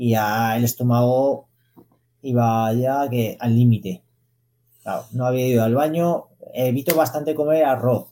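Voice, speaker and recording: With a dark, mellow tone and ordinary pitch variation, a man speaks with long, frequent pauses. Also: medium pitch for a man, fairly slow pace. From Zaragoza, Aragon, Spain. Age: 30s. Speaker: elite distance runner. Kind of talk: interview.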